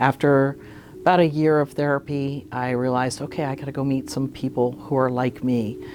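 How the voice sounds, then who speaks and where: Music plays in the background as the words come at a moderate pace. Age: 60s. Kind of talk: documentary interview.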